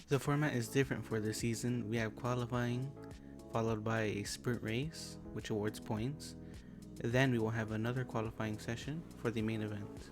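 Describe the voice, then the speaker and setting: Music plays in the background while a man speaks at a moderate pace with a medium pitch and ordinary pitch variation. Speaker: sim racing gamer. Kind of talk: post-recorded gameplay commentary.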